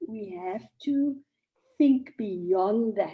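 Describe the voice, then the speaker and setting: A woman speaks with a dark, mellow tone. Her pitch varies in an ordinary way. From South Africa, Cape Town (District Six). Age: 60s. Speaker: journalist and author. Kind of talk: talk to an audience.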